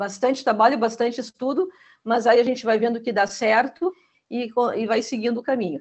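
The speaker has a southern Brazilian accent. The pace is moderate. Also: woman. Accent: gaúcho Brazilian Portuguese. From Rio Grande do Sul, Brazil. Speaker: school teaching coordinator. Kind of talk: interview.

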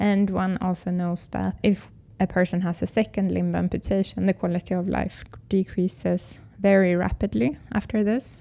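A woman's dark, mellow voice with a Swedish accent and fairly even intonation. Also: medium pitch for a woman, moderate pace. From Sweden. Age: 30s. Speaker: biotech company founder. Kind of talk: interview.

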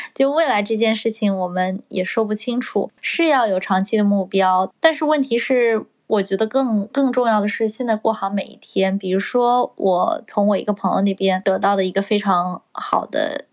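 Hardly pausing, a woman speaks at a moderate pace in an unremarkable speaking voice, fairly high in pitch with ordinary pitch variation. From China. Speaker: podcast co-host, recent graduate. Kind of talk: casual chat. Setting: at home.

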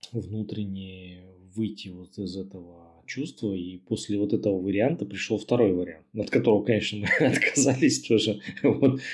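A normal speaking voice from a man, fairly low in pitch, with ordinary pitch variation at a moderate pace. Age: 30s. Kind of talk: recorded personal story.

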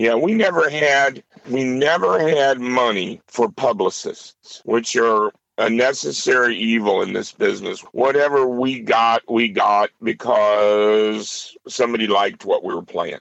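A man with an American accent and an unremarkable speaking voice talks at a fairly slow pace with hardly any pauses. His pitch sits at a medium level with ordinary variation. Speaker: blues guitarist. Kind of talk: casual chat. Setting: phone call.

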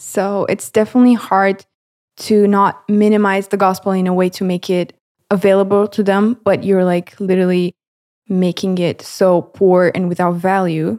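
With a Romanian accent, a woman talks at a moderate pace and medium pitch, her dark, mellow tone delivered in a flat monotone over a dry, close sound with no echo. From Romania, Galați. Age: 20s. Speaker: videographer intern, university student. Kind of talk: casual interview, personal testimony.

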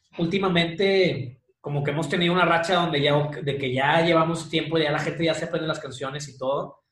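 Audible room echo surrounds a man's fairly high-pitched voice as he talks at a fairly quick pace. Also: fairly even intonation. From Mexico, Monterrey. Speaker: rock band singer. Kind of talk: casual interview. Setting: video call.

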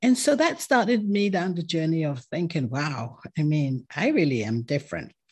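A woman with a non-native accent speaks at a fairly low pitch, somewhat breathy, with very wide pitch swings. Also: moderate pace. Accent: foreign-accented English, non-American. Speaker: podcaster and tech entrepreneur. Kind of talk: interview conversation.

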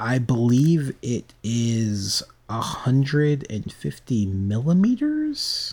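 A man speaks at a very slow pace, somewhat breathy. His medium pitch has ordinary variation. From United States. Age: 20s. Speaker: podcast co-host. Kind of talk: casual chat.

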